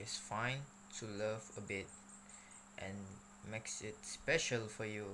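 Very slow and broken by long, frequent pauses, a man's fairly low voice has a bright, sharp tone. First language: not English. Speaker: video blogger reviewing books. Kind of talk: book review monologue to camera.

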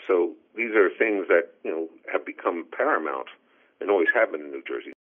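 At a fairly quick pace, a man speaks with big swings in loudness. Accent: American. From Pennsylvania. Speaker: economist. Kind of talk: interview. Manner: halting.

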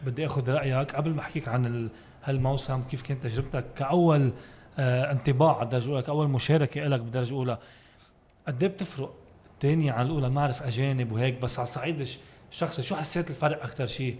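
The voice is somewhat breathy. It moves at a fairly quick pace with fairly even intonation. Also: man. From Lebanon. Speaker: sports podcast host; podcast host. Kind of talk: casual interview. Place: studio. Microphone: studio mic.

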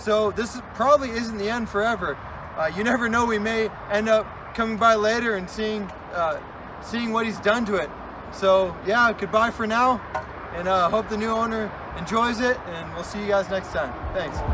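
Over noticeable background noise, a man uses a raised, projected voice with fairly even intonation. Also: moderate pace. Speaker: vehicle vlogger. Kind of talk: casual vlog chat. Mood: wistful farewell. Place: open country. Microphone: camera far.

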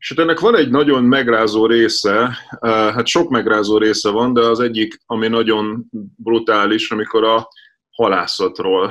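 A man's fairly even intonation at a fairly slow pace, against a quiet background. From Hungary. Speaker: editor-in-chief, interviewer; interviewer. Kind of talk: interview. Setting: studio. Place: home room. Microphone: video call.

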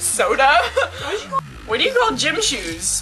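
Clear music sounds behind the voice. The speaker is a woman. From Quebec, Canada. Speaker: vlogger. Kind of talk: casual talk to camera. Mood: playful, giggly. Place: home room. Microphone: webcam.

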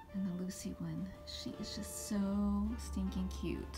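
A woman at a very slow pace, with clear music in the background. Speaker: gift showcase vlogger. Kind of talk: casual talk to camera. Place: home room. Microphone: phone near.

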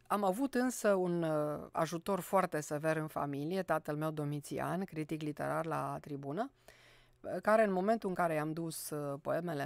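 A woman speaks at a fairly slow pace in a very deep, low pitch, with a quiet background and a dry sound with no echo. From Romania, Cluj; Romania. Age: 60s. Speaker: poet and university professor; poet, university professor. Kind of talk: radio interview. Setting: studio. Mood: calm reflective. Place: studio. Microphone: studio mic.

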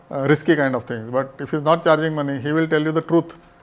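This man speaks in a fairly high pitch with monotone, flat intonation. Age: old. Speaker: investment advisor, podcast host. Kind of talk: casual interview on investing.

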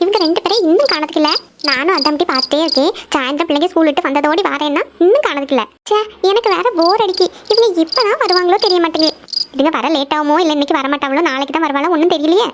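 Cartoonish character voice, female-sounding and extremely high in pitch, at a fairly quick pace. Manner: warm, homely.

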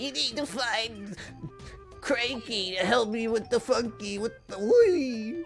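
Clear music sits in the background as a put-on character voice with a fairly high pitch speaks at a fairly slow pace.

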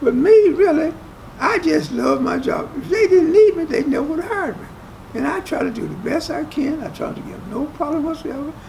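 Speaking at a fairly quick pace with an Appalachian accent, a man uses an extremely high pitch and lively intonation, with light background noise. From West Virginia, US. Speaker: resort worker. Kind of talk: casual interview. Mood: proud, storytelling. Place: hall. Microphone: camera far.

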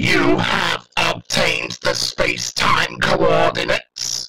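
A raspy, put-on character voice delivered at a fairly slow pace. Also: man. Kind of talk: fan dub of a TV scene. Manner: commanding, staccato.

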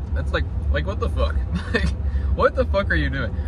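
Noticeable background noise under a man's voice, the sound dry with no echo. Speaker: vlogger. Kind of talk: casual vlog chat. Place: car. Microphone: phone near.

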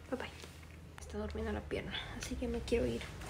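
A woman speaks softly. Background noise is noticeable throughout. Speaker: beauty vlogger. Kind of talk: casual vlog chat. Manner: soft-spoken, quiet ASMR voice. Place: home room. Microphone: phone near.

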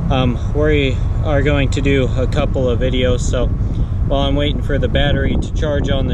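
A man speaking at a fairly slow pace, with loud background noise and a dry sound with no echo. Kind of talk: casual vlog chat. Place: open country. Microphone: phone near.

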